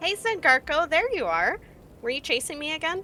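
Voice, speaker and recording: A woman's put-on character voice at an extremely high pitch, fairly quick, with clear background noise. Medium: actual play. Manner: bright, friendly.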